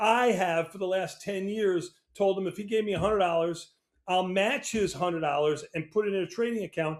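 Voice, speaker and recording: This man has a high pitch, an American accent, ordinary pitch variation, and a fairly quick pace. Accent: New York accent, comes out sometimes. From New York. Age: 60s. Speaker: options trader. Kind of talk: interview.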